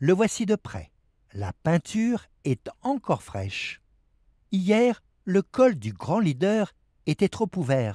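A man with a high, dark, mellow voice speaks very slowly with very wide pitch swings and long, frequent pauses. The recording is very clean with a silent background and a dry, close sound with no echo. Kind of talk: documentary narration over archival footage. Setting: voiceover. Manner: measured, formal, steady newsreel-style delivery.

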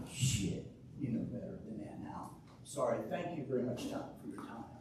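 Through noticeable background noise and audible room echo, a man talks at a moderate pace. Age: 70s. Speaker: resident speaking at public comment. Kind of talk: public comment at township meeting.

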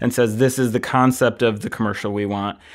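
A man with an American accent has an ordinary speaking voice at a medium pitch, talking at a fairly quick pace with fairly even intonation. The recording is very clean with a silent background. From Michigan. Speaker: film editor. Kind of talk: casual chat.

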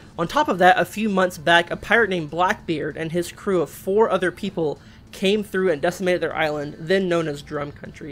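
Someone speaks at a moderate pace with faint music in the background. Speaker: manga recap host. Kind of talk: casual story recap commentary. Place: home room. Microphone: webcam.

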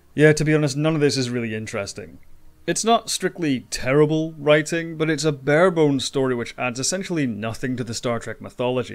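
A man's normal speaking voice, fairly high in pitch, fairly quick and lively in intonation, on a very clean recording with a silent background. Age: 20s. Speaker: video game commentary YouTuber. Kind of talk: scripted narration.

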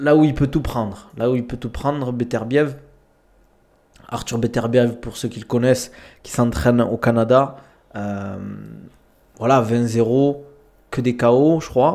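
In a dark, mellow tone, a man speaks very slowly with long, frequent pauses and fairly even intonation. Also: quiet background. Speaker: streamer, combat sports commentator. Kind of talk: casual live-stream commentary. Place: home room. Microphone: studio mic.

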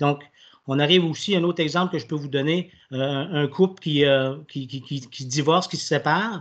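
Here a man speaks at a fairly high pitch with ordinary pitch variation. His pace is moderate, and the background is quiet. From Quebec. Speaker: municipal councillor. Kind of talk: council meeting statement. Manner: halting. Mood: earnest, persuasive. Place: home room. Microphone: video call.

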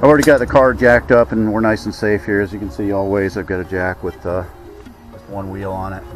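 Faint music plays behind a man whose fairly low voice carries ordinary pitch variation in a dry recording without echo. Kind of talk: tutorial. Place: street. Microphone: phone near.

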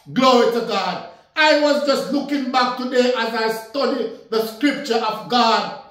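This man speaks at an extremely high pitch, fairly slowly and with fairly even intonation. The room echo is audible, though the background is quiet. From Jamaica. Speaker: minister. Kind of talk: sermon. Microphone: phone near.

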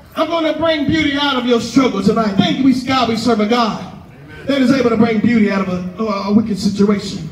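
A man speaks in a passionate tone at a fairly quick pace with ordinary pitch variation, with audible room echo and light background noise. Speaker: pastor preaching at a tent revival. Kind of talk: sermon, live preaching to a congregation. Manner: passionate, call-and-response preaching. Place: tent.

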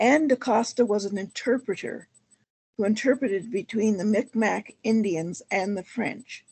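With a Canadian accent, a woman speaks in a somewhat breathy voice with ordinary pitch variation. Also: moderate pace. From Ontario, Canada (Essex County). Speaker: historian and heritage consultant. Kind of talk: lecture. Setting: video call. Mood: earnest, proud of heritage. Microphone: video call.

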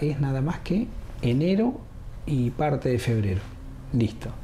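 A man speaks over light background noise. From Argentina, Viedma (Río Negro), born Buenos Aires; Argentina. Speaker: mayoral candidate; candidate. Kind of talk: interview. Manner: casual, colloquial. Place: studio.

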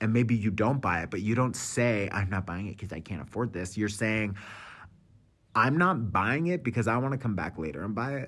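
Talking at a fairly quick pace, a man with a fairly low pitch uses an animated tone and lively intonation. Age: 30s. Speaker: tarot reader and podcast host. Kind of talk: casual monologue. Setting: cafe.

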